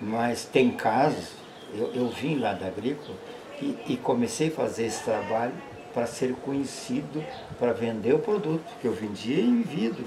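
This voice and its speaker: Against noticeable background noise, a man with a medium-pitched voice speaks fairly slowly with lively intonation. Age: 80s+. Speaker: beekeeper. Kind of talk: casual chat.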